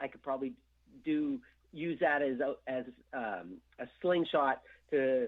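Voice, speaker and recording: A man speaks at a fairly high pitch. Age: 60s. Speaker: heavy metal guitarist, former band member. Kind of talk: radio interview. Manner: halting, many repeated words and fillers.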